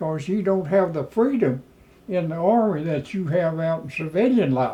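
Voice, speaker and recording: With an American accent, a man talks at a fairly slow pace in a high, dark and mellow voice with ordinary pitch variation. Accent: rural Oklahoma (Choctaw) English. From Oklahoma. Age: 90s. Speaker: war veteran. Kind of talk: oral history interview.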